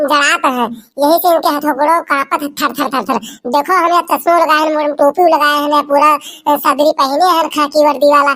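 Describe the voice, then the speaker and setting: This is a cartoonish character voice. The pitch sits high. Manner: chatty, scolding.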